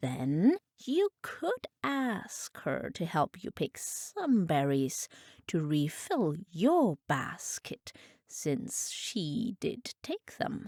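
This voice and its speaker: In a put-on character voice, a female-sounding speaker at a medium pitch goes very slowly with very wide pitch swings. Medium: read story.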